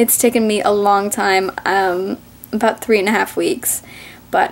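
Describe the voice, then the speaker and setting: Speaking at a fairly slow pace, a woman is heard. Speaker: vlogger. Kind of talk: casual vlog chat. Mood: cheerful, warm. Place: home room. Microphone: webcam.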